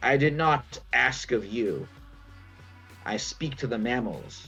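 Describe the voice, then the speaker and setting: A man puts on a croaky character voice at a medium pitch, speaking at a fairly slow pace over clear background music. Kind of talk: archaic, formal. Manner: imperious.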